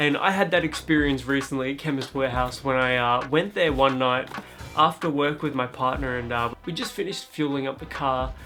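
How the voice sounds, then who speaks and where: Over background music, a man with an Australian accent talks at a moderate pace in a fairly high pitch with ordinary pitch variation. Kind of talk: casual talk to camera.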